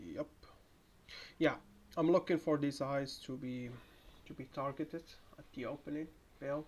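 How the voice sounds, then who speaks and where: A moderate pace with long, frequent pauses, in a Moroccan accent, on a very clean recording with a silent background. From Morocco. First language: Moroccan Arabic (Darija). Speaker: day trader. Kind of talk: live trading commentary. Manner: halting, repeats words.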